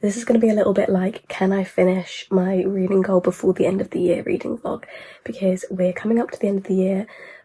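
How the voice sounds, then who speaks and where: Quiet and very fast, a woman speaks with a British accent at a medium pitch and with fairly even intonation. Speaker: book vlogger. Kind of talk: vlog. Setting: in a car and at a petrol station.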